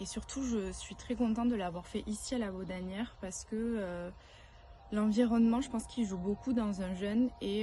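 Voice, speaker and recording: In a southern French accent, a woman speaks at a moderate pace. Her voice is somewhat breathy with a dark, mellow tone. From southern France. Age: 30s. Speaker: retreat participant, works in advertising. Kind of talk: testimony. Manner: hesitant, many filler sounds.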